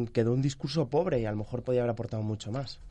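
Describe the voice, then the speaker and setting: A voice with a dark, mellow tone speaks at a very fast pace with ordinary pitch variation. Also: man. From Mallorca, Spain. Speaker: economic journalist. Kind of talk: radio panel discussion.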